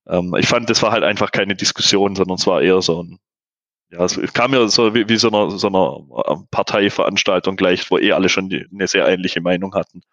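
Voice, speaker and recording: A man's fairly low, fairly quick delivery with fairly even intonation in an ordinary speaking voice, quiet background. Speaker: in-house SEO manager. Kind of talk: podcast interview.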